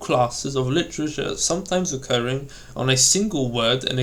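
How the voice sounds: Reading in a natural reading voice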